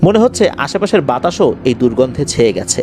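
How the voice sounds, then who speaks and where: Music plays behind a man speaking. His pitch swings very widely. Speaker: horror story radio host / narrator. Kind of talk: horror story narration in radio style.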